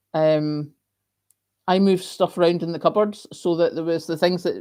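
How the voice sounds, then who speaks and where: Fairly quick speech comes from a woman with a fairly low voice and a dark, mellow tone. The recording is very clean, with a silent background. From Scotland. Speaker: YouTuber hosting live chat. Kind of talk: live stream chat reading comments. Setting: live stream.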